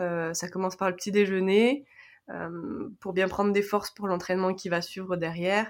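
A woman with a medium-pitched voice speaks with long, frequent pauses. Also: moderate pace. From France. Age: 20s. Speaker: karate athlete. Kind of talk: interview testimony.

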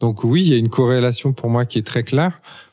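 The recording is very clean, with a silent background. A man speaks at medium pitch in a dark, mellow tone with ordinary pitch variation. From Paris, France. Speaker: entrepreneur and author. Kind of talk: interview. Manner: hesitant, many fillers and repetitions.

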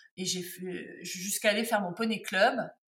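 Her voice is medium in pitch, bright and sharp in tone, with ordinary pitch variation, coming from a woman. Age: 50s. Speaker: textile artisan and tarot accessory maker. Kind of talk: interview.

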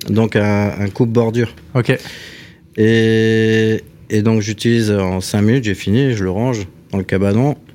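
A man's fairly low voice with fairly even intonation amid noticeable background noise. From Alsace, France (Strasbourg). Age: 40s. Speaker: carpenter and bodywork craftsman. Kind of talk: casual chat.

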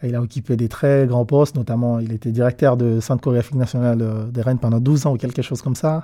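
A man's medium-pitched voice in a dark, mellow tone, very fast with hardly any pauses and fairly even intonation. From DR Congo, Kisangani. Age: 30s. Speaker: dancer and choreographer. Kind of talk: interview storytelling. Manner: halting.

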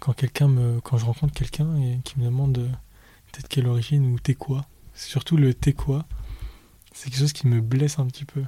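Dry and close with no echo, a man's medium-pitched voice has a dark, mellow tone, a somewhat breathy quality, monotone, flat intonation and long, frequent pauses. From Paris suburbs, France. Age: 20s. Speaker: podcast guest. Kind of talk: interview. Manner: soft and slow; halting.

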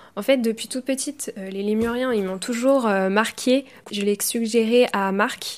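A woman with an unremarkable speaking voice talks at a moderate pace with a fairly high pitch. Her intonation is fairly even, and the recording is very clean with a silent background. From Brittany, France. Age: 20s. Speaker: biology student. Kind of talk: scripted narration.

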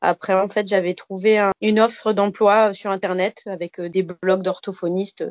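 This woman's voice sits at a medium pitch. Her intonation stays monotone and flat. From Alsace, France (Bas-Rhin). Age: 30s. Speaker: speech therapist. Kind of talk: casual interview.

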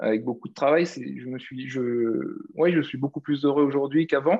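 This man talks at moderate speed with a medium pitch. The rise and fall of his voice stays fairly even. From Réunion. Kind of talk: casual interview. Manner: halting, many fillers.

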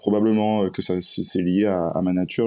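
Speaking at a fairly slow pace, a man uses a very deep, low pitch with fairly even intonation. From Martinique. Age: 30s. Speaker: musician. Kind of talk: casual chat.

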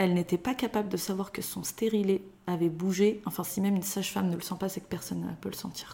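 In a normal speaking voice, a woman of medium pitch talks at a fairly quick pace with fairly even intonation. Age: 30s. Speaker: mother of three. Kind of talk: personal testimony interview.

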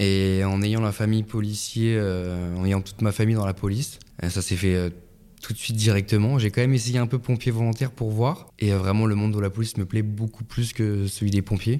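In a very clean recording with a silent background, a man talks at a fairly quick pace in a dark, mellow tone and a fairly low pitch. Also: fairly even intonation. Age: 20s. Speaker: police officer. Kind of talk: interview. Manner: halting.

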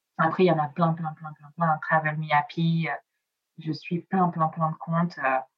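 Speaking with an Italian accent, a woman uses a fairly low pitch and monotone, flat intonation at a fairly slow pace, somewhat breathy, with big swings in loudness. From Nice, southern France. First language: Italian (speaking French). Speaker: travel blogger. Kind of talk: casual interview. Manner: hesitant, many fillers.

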